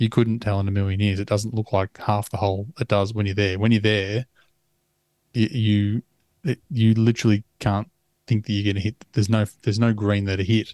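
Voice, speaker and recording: The recording is dry and close with no echo, as a man with an Australian accent talks at a fairly quick pace in a fairly low, monotone, flat voice. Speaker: golf podcast co-host. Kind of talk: casual chat.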